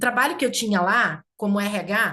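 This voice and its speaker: A woman with a São Paulo interior accent speaks at a medium pitch in a bright, sharp tone. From interior of São Paulo state (Campinas region). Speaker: community leader. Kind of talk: casual chat.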